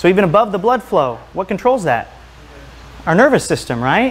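His voice sits high in pitch. This man speaks fairly quickly. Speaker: chiropractor and health speaker; presenter. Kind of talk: lecture. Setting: stage with audience. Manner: fast talker when excited. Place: home room. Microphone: lapel.

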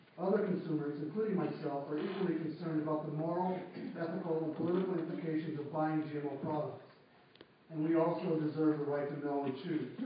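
A man talking at a very fast pace in a flat monotone, with strong room echo and light background noise. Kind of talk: formal testimony. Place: hall. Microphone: camera far.

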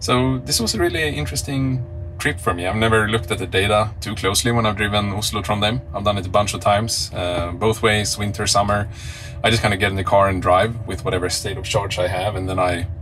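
A man at a fairly low pitch and a very fast pace, with faint music in the background. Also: ordinary pitch variation. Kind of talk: casual vlog chat. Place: car. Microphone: phone near.

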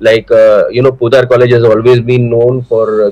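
Here a man speaks at a fairly quick pace with fairly even intonation. His tone is dark and mellow. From India. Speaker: business executive; webinar guest. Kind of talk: formal talk. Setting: video call. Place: home room. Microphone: video call.

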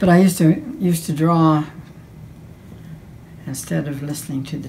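Ordinary pitch variation and a moderate pace come through over light background noise. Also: woman. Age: 80s+. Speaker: painter. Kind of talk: interview answer. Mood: warm, fond. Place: home room.

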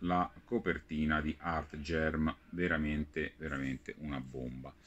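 Very deep and low, a man's voice moves at a very slow pace with ordinary pitch variation. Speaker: comics news show host. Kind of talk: product review roundup. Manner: animated.

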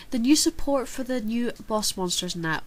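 Female speech, moderate in pace, ordinary in pitch variation. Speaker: card game channel host. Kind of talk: casual Q&A vlog answer.

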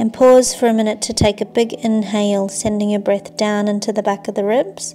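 A woman speaks at a moderate pace with fairly even intonation while faint music plays in the background. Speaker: yoga instructor. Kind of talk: guided exercise instruction. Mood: calm, soothing.

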